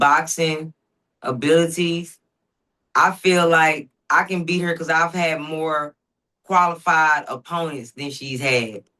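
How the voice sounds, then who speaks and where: Very slowly, a woman with a Southern US accent speaks in a bright, sharp tone, her fairly low pitch showing ordinary variation. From US South, Dallas, Texas (Oak Cliff). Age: 40s. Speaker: professional boxer. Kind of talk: interview.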